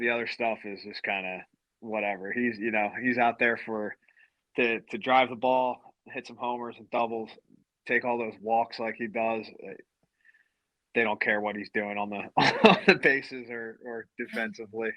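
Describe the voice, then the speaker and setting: A man's medium-pitched voice, flat and monotone at a moderate pace, with big swings in loudness and long, frequent pauses. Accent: American. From Philadelphia area, US. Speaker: podcast guest, baseball talk. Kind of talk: casual chat.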